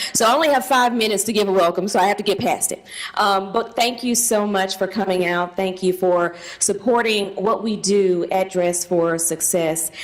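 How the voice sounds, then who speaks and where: A woman with a Southern US accent and ordinary pitch variation, heard over noticeable background noise. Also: medium pitch for a woman. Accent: Southern US drawl. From US South, Tennessee. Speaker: charity leader hosting event. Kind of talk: welcome speech.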